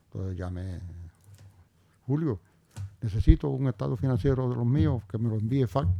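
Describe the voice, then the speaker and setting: On a very clean recording with a silent background, a man with a dark, mellow tone uses lively intonation. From Puerto Rico, barrio Río Arriba. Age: 70s. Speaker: retired police officer and businessman. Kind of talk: interview.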